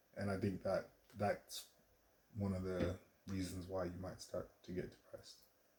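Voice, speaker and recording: A man speaks quietly. His speech has long, frequent pauses. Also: moderate pace. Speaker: vlogger and artist. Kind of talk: casual vlog monologue. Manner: quiet, low voice; hesitant, many fillers.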